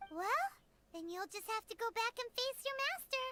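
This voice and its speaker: An extremely high, squeaky put-on character voice is heard. Music plays in the background. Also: moderate pace. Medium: video game. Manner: chatty, helpful.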